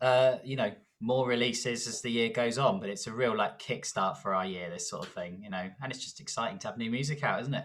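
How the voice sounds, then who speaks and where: A man talks in a southern English accent. He keeps a fairly quick pace with hardly any pauses. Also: medium pitch for a man, ordinary pitch variation. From southern England. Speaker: rock band guitarist. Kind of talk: interview. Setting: video call.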